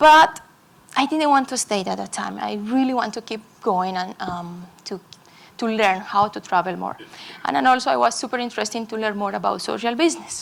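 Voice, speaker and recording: With a Colombian accent, a woman talks at a fairly quick pace in a medium pitch, her voice making very wide pitch swings. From Colombia, Medellín. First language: Spanish. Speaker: conference speaker. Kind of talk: talk to an audience. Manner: halting.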